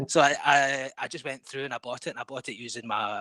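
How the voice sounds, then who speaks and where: Speaking at a very fast pace with a strong Scottish accent, the man has a bright, sharp tone and a dry, close sound with no echo. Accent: thick Scottish. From Scotland. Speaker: game developer. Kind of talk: podcast interview. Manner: halting.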